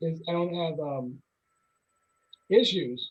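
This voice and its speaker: High pitch from a man, at a moderate pace. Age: 60s. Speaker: community college educator and administrator. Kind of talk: casual chat. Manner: halting.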